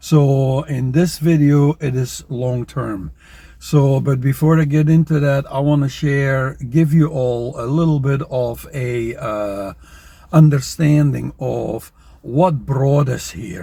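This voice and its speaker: Very slowly, a man speaks in a dark, mellow, somewhat breathy tone with ordinary pitch variation. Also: fairly high pitch for a man. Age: 70s. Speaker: personal finance YouTuber. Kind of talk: casual to-camera monologue. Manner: conversational, with frequent fillers.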